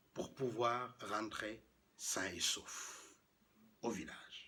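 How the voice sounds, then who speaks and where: His voice somewhat breathy, a man talks very slowly. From Senegal. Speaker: professional storyteller. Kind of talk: traditional tale told aloud.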